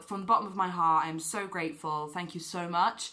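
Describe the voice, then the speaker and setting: A woman speaks with a British accent. Her pace is moderate. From UK. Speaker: talk show host. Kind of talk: talk show monologue; vlog intro to camera. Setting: TV studio. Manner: animated.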